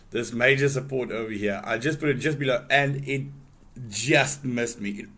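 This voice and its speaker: Audible room echo surrounds a man talking fairly quickly at a medium pitch with ordinary pitch variation. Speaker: forex trader streaming live trades. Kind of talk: live trading tutorial. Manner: casual, with frequent fillers and repeats; loud at times.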